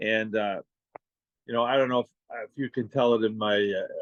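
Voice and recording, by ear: A man's fairly low voice with a Boston accent, fairly quick and fairly even in intonation, dry and close with no echo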